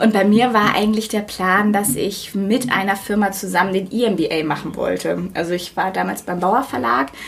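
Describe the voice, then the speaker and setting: Medium-pitched female speech under noticeable background noise. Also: ordinary pitch variation, moderate pace. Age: 30s. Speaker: media project lead, business school alumna. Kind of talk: casual interview.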